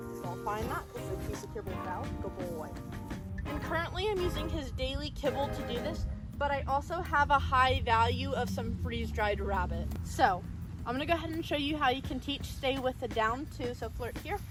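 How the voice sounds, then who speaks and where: A woman speaks with music in the background and an audible room echo. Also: moderate pace. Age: 20s. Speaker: dog trainer. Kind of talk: tutorial. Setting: outdoors.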